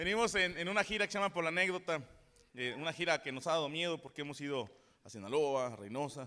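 In a central Mexican accent, a man speaks very fast with lively intonation. His voice is fairly high, with a bright, sharp tone. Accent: Mexican, central Mexico. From Mexico, Cuautla (Morelos). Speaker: stand-up comedian. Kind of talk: stand-up comedy. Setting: stage with audience. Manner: animated, profane, rapid-fire storytelling; self-deprecating, jokey, conversational with audience.

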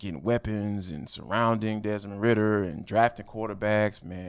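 A very clean recording of a fairly low male voice against a silent background. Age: 40s. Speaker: sports podcaster. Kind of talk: casual chat. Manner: animated.

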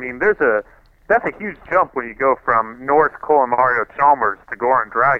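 Speaking at a moderate pace, a man with an unremarkable speaking voice has a medium pitch and lively intonation. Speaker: podcast co-host, NBA commentator. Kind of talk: casual sports talk chat. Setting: phone call.

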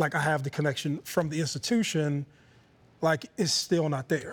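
A man with an ordinary speaking voice, fairly high in pitch and fairly even in intonation, on a very clean recording with a silent background. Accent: American. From Youngstown, Ohio. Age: 30s. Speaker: former football player. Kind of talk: interview.

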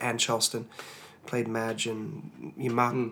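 With noticeable background noise, a speaker in an Australian accent talks at a moderate pace. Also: man. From Australia (Tasmania). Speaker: singer and worship leader. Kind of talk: interview testimony.

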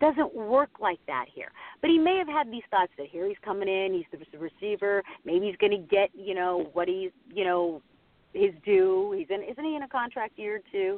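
A woman speaks with an American accent and lively intonation. She has an ordinary speaking voice. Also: medium pitch for a woman, moderate pace. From Pittsburgh, Pennsylvania. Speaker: TV sports anchor. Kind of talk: casual chat.

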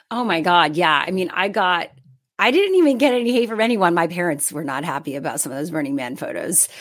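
A woman at a very fast pace, with very wide pitch swings. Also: fairly low pitch for a woman. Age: 30s. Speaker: media host and content creator. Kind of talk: interview podcast conversation.

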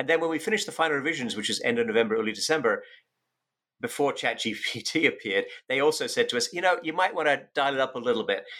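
A man talking at a very fast pace, on a very clean recording with a silent background. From UK. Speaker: economics professor and author. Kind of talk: interview.

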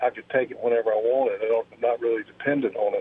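At medium pitch, a man speaks with monotone, flat intonation. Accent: American. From US, Virginia. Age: 60s. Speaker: caller, retiree and business owner. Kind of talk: radio call-in question. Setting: phone call. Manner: halting.

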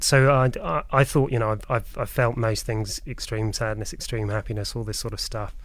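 A man is talking here. He speaks with a British accent. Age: 30s. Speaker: podcast guest. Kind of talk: casual chat. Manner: halting.

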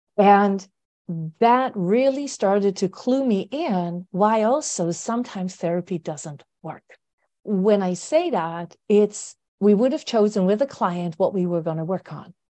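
A woman speaks at a medium pitch with a dark, mellow tone and lively intonation. Her pace is fairly slow against a quiet background. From Netherlands. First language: Dutch. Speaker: therapist. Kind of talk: interview.

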